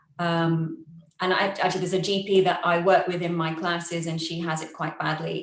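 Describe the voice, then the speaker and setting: This voice has a British accent, a fairly quick pace and monotone, flat intonation. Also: woman. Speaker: yoga teacher with long covid. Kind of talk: online forum talk, sharing personal experience. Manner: chatty, fast.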